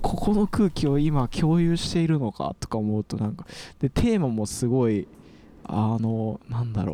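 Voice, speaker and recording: A man with a dark, mellow tone talks at a moderate pace, his medium pitch making very wide swings. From Osaka outskirts, Japan. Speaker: electronic musician. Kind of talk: casual chat.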